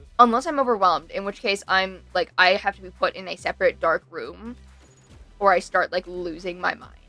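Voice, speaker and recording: A woman at medium pitch, talking at a fairly quick pace with ordinary pitch variation and big swings in loudness, in a dry, close sound with no echo and music in the background. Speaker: streamer. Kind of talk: casual chat. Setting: live stream. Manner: talkative, fast.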